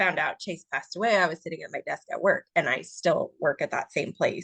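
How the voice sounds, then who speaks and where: The sound is dry and close, with no echo. The speech moves at a fairly quick pace. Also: woman. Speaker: author. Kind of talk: casual chat. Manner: quiet; halting.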